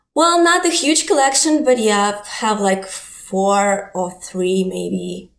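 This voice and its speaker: Speaking very slowly, a woman with a Ukrainian accent uses a medium pitch and very wide pitch swings. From Ukraine. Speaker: digital artist and photographer. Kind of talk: interview.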